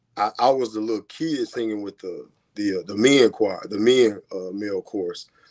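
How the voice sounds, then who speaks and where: A man's fairly low voice with an American accent, moderate pace, ordinary pitch variation and big swings in loudness, on a very clean recording with a silent background. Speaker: singer. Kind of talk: casual interview chat.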